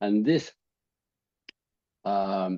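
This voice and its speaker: A man with an Australian accent, fairly low pitch and a dark, mellow tone over a quiet background. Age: 70s. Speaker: habit change coach. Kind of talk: interview. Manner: halting, many repetitions.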